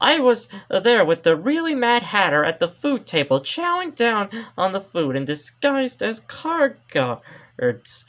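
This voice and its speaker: A man puts on a high-pitched character voice with very wide pitch swings at a moderate pace. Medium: read story.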